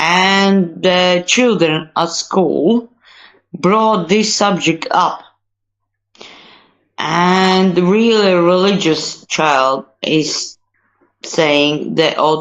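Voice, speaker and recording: This woman talks very slowly, at a fairly low pitch with ordinary variation. Her loudness stays very even. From Latvia. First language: Latvian and Russian. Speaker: online discussion participant. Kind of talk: casual debate. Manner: halting.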